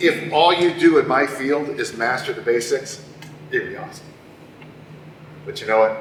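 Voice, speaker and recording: A man is speaking in a room with audible echo. Background noise is noticeable throughout. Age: 60s. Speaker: strength coach. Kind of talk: conference talk. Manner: animated.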